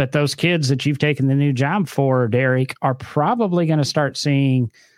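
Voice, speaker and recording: Here is an ordinary speaking voice from a man at a moderate pace. His pitch is medium, with ordinary pitch variation. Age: 50s. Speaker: car podcast host. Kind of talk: casual chat. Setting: studio.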